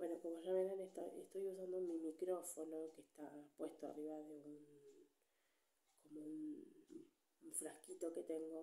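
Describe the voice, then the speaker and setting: A soft-spoken woman with a fairly low pitch, dark, mellow tone, monotone, flat intonation and fairly slow pace, with audible room echo. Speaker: ASMR creator. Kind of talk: soft-spoken ASMR storytime. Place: home room.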